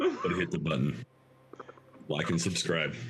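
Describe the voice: Using a put-on character voice, a man speaks at a low pitch with very wide pitch swings. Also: fairly slow pace.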